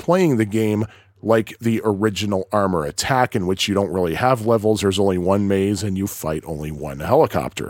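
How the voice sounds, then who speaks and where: Lively in intonation, a man with a fairly low pitch talks at a fairly quick pace with hardly any pauses. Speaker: podcast host. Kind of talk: solo monologue podcast. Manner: hesitant, many fillers.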